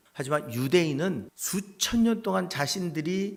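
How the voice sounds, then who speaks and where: A man with very wide pitch swings. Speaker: pastor. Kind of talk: sermon.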